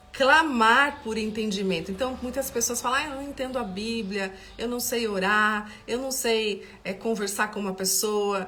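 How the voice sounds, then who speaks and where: A woman with a warm tone speaks at a fairly slow pace with hardly any pauses. Audible room echo and noticeable background noise surround her. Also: ordinary pitch variation. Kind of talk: Bible study livestream. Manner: halting, with repetitions; warm and conversational.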